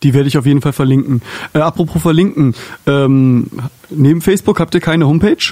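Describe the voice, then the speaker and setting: Very fast yet full of long, frequent pauses, a man speaks at a fairly high pitch in a dark, mellow tone, with ordinary pitch variation and very even loudness. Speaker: podcast host. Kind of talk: casual interview. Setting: studio.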